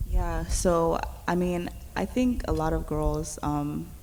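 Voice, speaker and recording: A woman talks with a New York accent. Room echo is audible. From New York City (Queens, born in Brooklyn). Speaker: youth organizer. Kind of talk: panel discussion.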